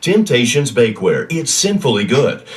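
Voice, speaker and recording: A man with a fairly high voice speaks at a moderate pace, his pitch swinging very widely. Noticeable background noise runs underneath. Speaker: voice actor. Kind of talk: infomercial read. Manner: intense, breathy.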